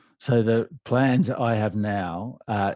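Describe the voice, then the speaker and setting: With an Australian accent, a man talks at a fairly low pitch using ordinary pitch variation. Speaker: leadership development trainer. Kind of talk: interview answer.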